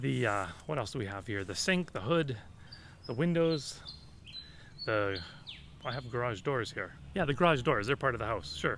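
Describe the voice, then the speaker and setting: A man's medium-pitched voice with vocal fry, at a moderate pace, with very wide pitch swings and long, frequent pauses. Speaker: vlogger. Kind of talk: casual vlog talk. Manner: loud.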